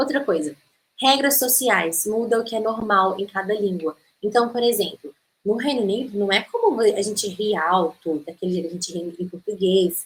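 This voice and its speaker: A woman at a medium pitch and a moderate pace, with ordinary pitch variation. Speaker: English teacher. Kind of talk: online masterclass lecture. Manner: animated.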